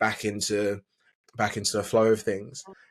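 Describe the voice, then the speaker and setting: A man with an Essex accent at a moderate pace on a very clean recording with a silent background. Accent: southern English (Essex). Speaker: business coach. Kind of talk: podcast interview. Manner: hesitant, many fillers.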